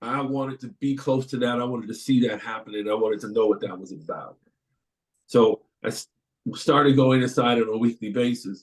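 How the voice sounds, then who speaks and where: At a moderate pace, a man with a medium pitch and a plain, everyday voice speaks with ordinary pitch variation. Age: 60s. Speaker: panelist, community volunteer in prison dialogues. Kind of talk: webinar panel testimony. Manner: conversational, with some repeated words.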